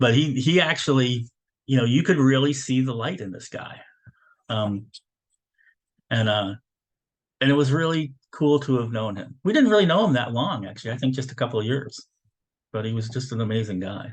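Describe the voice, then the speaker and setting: A somewhat breathy man's voice at medium pitch, moderately paced, with lively intonation and long, frequent pauses. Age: 60s. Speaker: spiritual lecturer, retired military. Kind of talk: spiritual teaching lecture. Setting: video call. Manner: casual, halting with many fillers.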